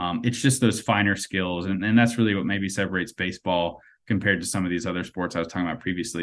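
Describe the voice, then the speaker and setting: On a very clean recording with a silent background, a man with an American accent speaks at a fairly low pitch with fairly even intonation. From US South, North Carolina. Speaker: baseball writer and prospect analyst. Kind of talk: casual interview chat.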